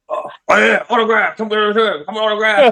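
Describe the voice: Putting on a raspy character voice, a man projects loudly at a high pitch and a moderate pace.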